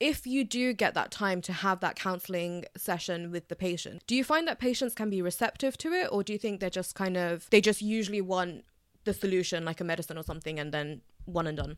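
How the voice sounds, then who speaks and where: An ordinary speaking voice with lively intonation moves at a fairly quick pace. The recording is very clean, with a silent background. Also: woman. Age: 20s. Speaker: podcast host, student nutritionist. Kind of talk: interview.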